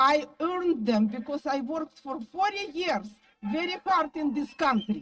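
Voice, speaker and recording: Fairly slow in pace, a woman speaks at a high pitch with lively intonation. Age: 60s. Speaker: rally speaker, tour guide. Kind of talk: protest rally speech. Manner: impassioned.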